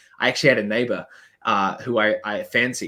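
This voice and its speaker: A man with a New Zealand accent speaks in a bright, sharp tone. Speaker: business coach. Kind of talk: podcast interview. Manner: hesitant, many fillers.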